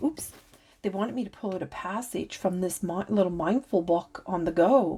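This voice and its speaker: Her voice has a dark, mellow tone and medium pitch as the woman talks at a moderate pace. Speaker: tarot reader and spiritual channeler. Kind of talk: oracle card reading. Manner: halting, stuttering at times.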